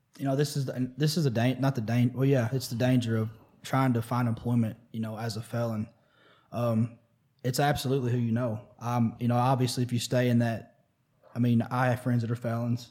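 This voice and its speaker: A man with a Midwestern American accent, medium pitch, a dark, mellow tone, monotone, flat intonation and a fairly quick pace on a very clean recording with a silent background. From US Midwest, Missouri. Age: 30s. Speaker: recovery advocate and veteran community radio host. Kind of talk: casual interview.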